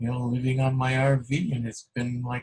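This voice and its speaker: Somewhat breathy and at a fairly slow pace, a man talks at a medium pitch with fairly even intonation. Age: 60s. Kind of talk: casual chat. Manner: halting.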